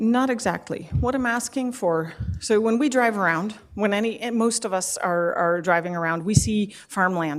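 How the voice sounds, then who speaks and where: A woman with an unremarkable speaking voice uses typical pitch movement at a moderate speed, captured on a very clean recording with a silent background. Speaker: public delegate at council meeting. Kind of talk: public meeting delegation.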